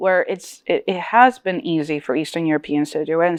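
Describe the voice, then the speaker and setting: Against a quiet background, a woman with a Connecticut accent talks at a fairly quick pace, her fairly low pitch carrying lively intonation. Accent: American English, Connecticut. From New Britain, Connecticut; Polish diaspora. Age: 30s. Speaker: author. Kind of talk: panel discussion.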